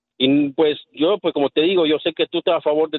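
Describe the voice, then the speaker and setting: Fairly high for a man, this voice moves at a fairly quick pace with fairly even intonation. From El Salvador. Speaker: radio caller. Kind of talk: call-in opinion. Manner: halting, hesitant.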